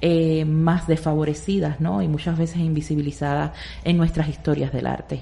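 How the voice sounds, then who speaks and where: Noticeable background noise is present throughout. Over it, a woman speaks at a moderate pace. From Cuba. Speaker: art curator. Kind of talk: radio interview.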